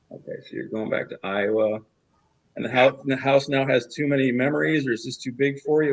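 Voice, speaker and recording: This man has an unremarkable speaking voice, medium in pitch, with ordinary pitch variation and a fairly quick pace. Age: 60s. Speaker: sales closer in a competition. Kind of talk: role-play sales call.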